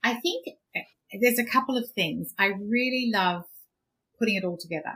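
A woman with an Australian accent and a fairly high voice speaks at a moderate pace. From Australia, Queensland. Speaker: business finance coach and podcast host. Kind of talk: interview.

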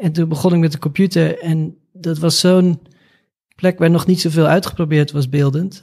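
A man speaks with a high pitch and a dark, mellow tone. His pitch varies in an ordinary way. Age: 40s. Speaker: artist. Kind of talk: interview.

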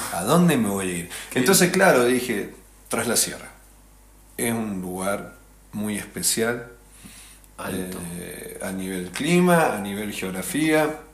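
Audible room echo surrounds a man of medium pitch. He speaks at a very slow pace with very wide pitch swings and long, frequent pauses. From Traslasierra valley, Córdoba, Argentina. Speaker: musician. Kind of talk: casual chat. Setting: host's rural house.

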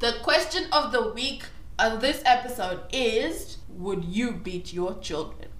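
Amid noticeable background noise, a high-pitched woman speaks at a very slow pace with very wide pitch swings. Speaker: podcast host. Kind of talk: casual chat.

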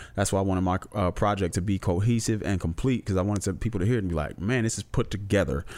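The recording is very clean, with a silent background, as a man with a fairly low pitch talks at a very fast pace with hardly any pauses. His loudness stays very even and his pitch varies in an ordinary way. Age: middle-aged. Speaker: rapper and music producer. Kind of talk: casual chat.

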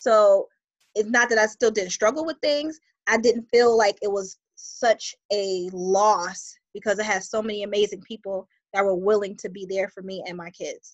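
A plain, everyday voice at a moderate pace. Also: woman. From Buffalo, New York. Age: 30s. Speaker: community founder and mother. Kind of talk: casual conversational interview.

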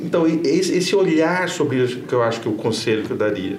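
Noticeable background noise and audible room echo fill the recording. A man's voice swings very widely in pitch. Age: 50s. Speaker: journalist and professor. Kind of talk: interview. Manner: halting, repeats words.

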